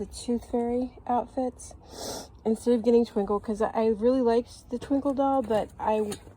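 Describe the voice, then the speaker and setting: Background noise is noticeable as a woman speaks at a moderate pace. Her intonation is monotone and flat. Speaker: doll unboxing youtuber. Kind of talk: casual unboxing vlog. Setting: outdoors. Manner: halting, many fillers.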